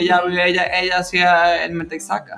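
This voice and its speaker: A woman speaks over noticeable background noise. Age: young. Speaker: podcast co-host. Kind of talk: casual chat.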